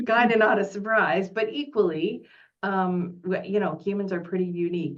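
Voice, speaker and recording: Pitched at a medium level with ordinary pitch variation, the woman talks in a normal speaking voice. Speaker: career development presenter. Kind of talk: online presentation Q&A.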